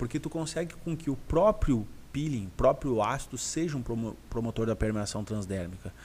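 A man with a medium pitch talks at a moderate pace, his voice making very wide pitch swings, in a very clean recording with a silent background. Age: 30s. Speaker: aesthetics health professional and teacher. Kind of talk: live-stream Q&A chat.

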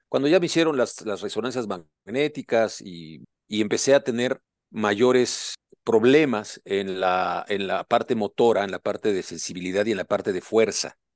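At a moderate pace, a man speaks at a fairly low pitch with ordinary pitch variation, the sound dry and close with no echo over a quiet background. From Puebla, Mexico. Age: 60s. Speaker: doctor and author, amputee. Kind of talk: personal life-story interview. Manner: hesitant with frequent repetitions.

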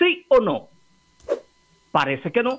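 A man talks at a fairly slow pace. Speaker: political commentator, co-host. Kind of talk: casual chat.

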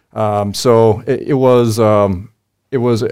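Here a man speaks with an Upper Midwest accent. His medium-pitched voice stays monotone and flat. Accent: Upper Midwest American. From US Midwest, Wisconsin (Oshkosh). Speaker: lawyer and business owner. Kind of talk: interview. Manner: halting, many fillers.

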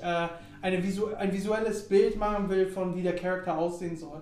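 Amid noticeable background noise and audible room echo, a man speaks fairly quickly in a high pitch with ordinary pitch variation. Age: 20s. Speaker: podcast host. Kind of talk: casual chat.

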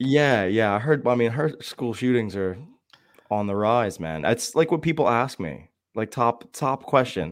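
In a normal speaking voice, a man with an American accent talks at a fairly slow pace, his medium pitch carried by lively intonation. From Shamokin, Pennsylvania. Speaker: guest. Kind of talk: casual chat.

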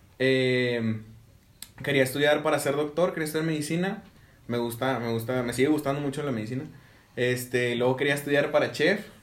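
With audible room echo, a man speaks at a fairly quick pace in a fairly high pitch, using ordinary pitch variation. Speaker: podcast host, engineering student. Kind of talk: casual chat.

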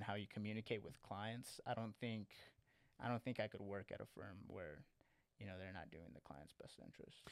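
Speaking fairly quickly with an American accent, a man uses an ordinary speaking voice at a fairly low pitch with ordinary pitch variation. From Lubbock, Texas. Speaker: financial paraplanner. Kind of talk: casual chat.

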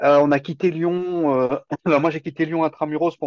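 A man keeps his intonation fairly even while talking at a moderate pace. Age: 50s. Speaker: self-sufficiency farmer. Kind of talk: podcast interview. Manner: hesitant, repeats words.

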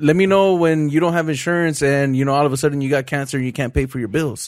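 A man talks at a very fast pace and a fairly high pitch. The recording is very clean, with a silent background. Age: 20s. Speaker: entrepreneur and podcast co-host. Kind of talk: casual chat.

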